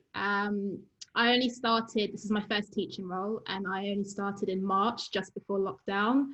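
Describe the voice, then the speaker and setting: With a London accent, a woman speaks at a moderate pace. Her medium-pitched voice keeps a fairly even intonation. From London, England (Wembley). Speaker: university lecturer in geoscience. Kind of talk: informal talk in an online webinar.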